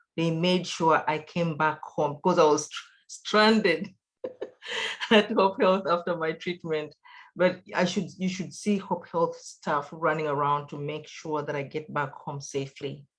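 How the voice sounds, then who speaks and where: A woman's fairly low voice with a non-native accent, fairly slow, with ordinary pitch variation. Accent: foreign accent, noticeable. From outside the US. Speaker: patient, cancer survivor. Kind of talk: testimony. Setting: video call.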